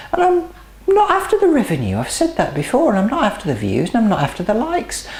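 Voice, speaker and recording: A woman in a relaxed tone with very wide pitch swings, over noticeable background noise. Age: 60s. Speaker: home cooking channel host. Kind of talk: cooking tutorial. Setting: outdoors in her garden. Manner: chatty, relaxed.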